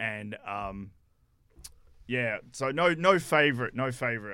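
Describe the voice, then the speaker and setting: A man with a bright, sharp tone and lively intonation, in a very clean recording with a silent background. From South Africa. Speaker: sports videographer. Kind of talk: radio interview. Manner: halting.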